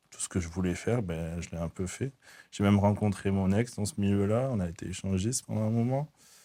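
On a very clean recording with a silent background, a man speaks with a fairly low pitch, a dark, mellow tone and ordinary pitch variation. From southern France, raised from age 4 (born in the Netherlands). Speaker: faith testimony guest. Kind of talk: testimony interview. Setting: hair salon set. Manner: halting, frequent repetitions.

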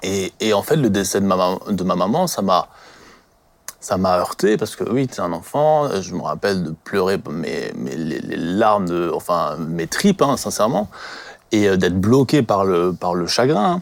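A man speaks slowly-ish, at a fairly slow pace, using lively intonation. He has a plain, everyday voice. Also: fairly low pitch for a man. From France, Alsace (Colmar area). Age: 20s. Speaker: church member sharing life story. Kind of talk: personal testimony.

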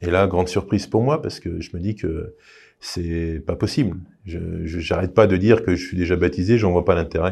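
Dark, mellow tone, somewhat breathy, with ordinary pitch variation at a moderate pace. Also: man, very deep, low pitch for a man, quiet background. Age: 30s. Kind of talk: testimony. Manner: halting.

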